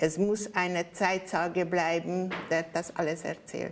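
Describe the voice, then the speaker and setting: A woman with a Hungarian accent speaks at a very slow pace in a medium pitch, her intonation monotone and flat. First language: Hungarian (speaking German). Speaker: Holocaust survivor. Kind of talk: testimony. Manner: halting.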